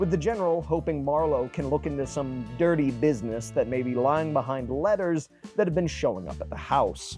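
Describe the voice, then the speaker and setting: Fairly quick speech with hardly any pauses, music playing in the background. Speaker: book reviewer. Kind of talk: video essay narration.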